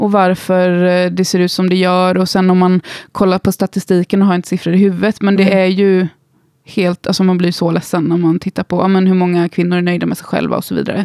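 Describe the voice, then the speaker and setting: A woman speaks in a dark, mellow tone with monotone, flat intonation. The sound is dry and close, with no echo. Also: medium pitch for a woman, fairly quick pace. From Gothenburg, Sweden. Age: 30s. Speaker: instagram creator and musician. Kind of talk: casual interview.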